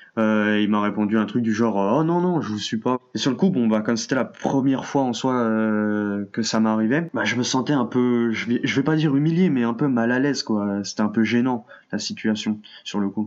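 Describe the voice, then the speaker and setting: Using a normal speaking voice, a man talks at a moderate tempo. The pitch sits in the medium range and varies in an ordinary way. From France. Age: young. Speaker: university student. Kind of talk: testimony.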